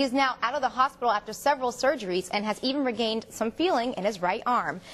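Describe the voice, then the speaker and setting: A woman speaks at a high pitch and a fairly quick pace. Her intonation is lively. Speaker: television news anchor and reporter. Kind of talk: scripted news anchor read.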